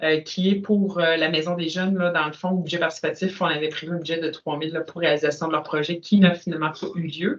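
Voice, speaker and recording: The speaker talks at a fairly quick pace with a Quebec accent and hardly any pauses, over noticeable background noise. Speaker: council meeting chair. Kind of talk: municipal meeting discussion.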